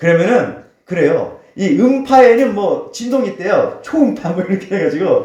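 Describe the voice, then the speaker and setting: A man's voice moves through very wide pitch swings, with audible room echo. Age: 50s. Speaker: pastor. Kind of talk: sermon.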